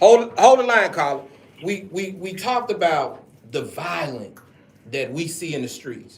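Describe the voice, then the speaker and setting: A man with a Southern US accent at a moderate pace, in audible room echo. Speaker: radio talk show host. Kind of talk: radio talk show discussion. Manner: loud.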